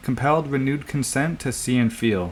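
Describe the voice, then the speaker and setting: A man speaks at a moderate pace in a medium pitch with ordinary pitch variation. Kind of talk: poetry reading.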